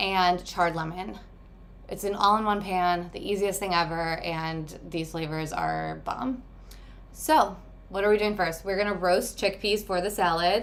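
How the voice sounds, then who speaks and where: Audible room echo on a woman's voice. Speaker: meal prep coach and cooking host. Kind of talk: live cooking tutorial. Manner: fast.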